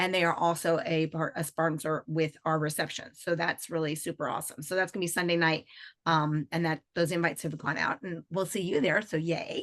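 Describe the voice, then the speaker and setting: At a fairly quick pace, a woman talks in a fairly low pitch. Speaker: credit union association executive director. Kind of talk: podcast interview. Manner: fast; animated.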